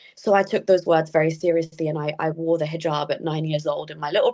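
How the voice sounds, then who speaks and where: Fairly quick speech with a British accent. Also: woman. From England (British Pakistani family). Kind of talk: interview.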